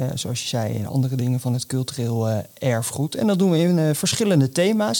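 This man has a plain, everyday voice with a fairly high pitch. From Scheveningen, Netherlands. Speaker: podcast host. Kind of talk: casual chat.

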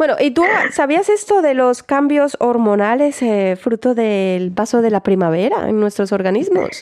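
A woman's animated, high-pitched voice with very wide pitch swings and very even loudness, at a fairly slow pace, over noticeable background noise. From Colombia, Barranquilla. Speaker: radio host. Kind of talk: casual radio chat.

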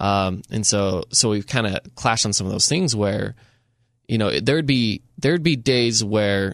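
A man with an American accent and a normal speaking voice has a fairly low pitch, ordinary pitch variation and a moderate pace. The recording is very clean, with a silent background. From rural southern Utah. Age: 20s. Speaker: media producer. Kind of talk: casual chat. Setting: studio.

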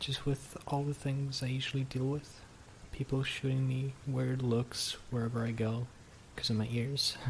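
Somewhat breathy speech from a man at medium pitch, monotone and flat in intonation, very even in loudness, with a nervous, gentle tone. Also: moderate pace. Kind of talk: ASMR roleplay, intimate whispered scripted-feeling scene with a listener. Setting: close-mic ASMR recording. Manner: shy, flustered, stammering and bashful, with nervous laughs and hesitant restarts; soft, tender, gentle and intimate, winding down sleepily.

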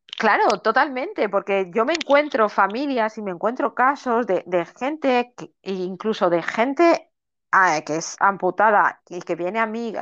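In a quiet background, a woman speaks at a fairly slow pace. Her fairly high voice has lively intonation. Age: 40s. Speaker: coach and mentor for amputees. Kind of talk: interview. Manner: halting.

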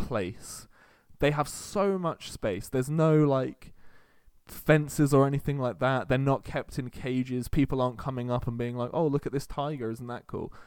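This man has an ordinary speaking voice with a medium pitch, ordinary pitch variation and a moderate pace. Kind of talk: comedic carnival-barker patter inside a casual chat.

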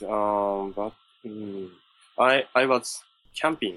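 A man with a Japanese accent speaks at a fairly low pitch in a bright, sharp tone. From Japan, Ishikawa Prefecture. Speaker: English learner. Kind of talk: English lesson conversation. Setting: online call. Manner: halting.

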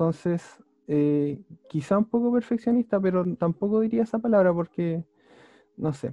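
This man has a high pitch and a dark, mellow tone. He talks at a moderate pace with lively intonation, in a dry, close sound with no echo. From Chile, Talca. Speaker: competitive Pokémon player. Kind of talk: casual interview.

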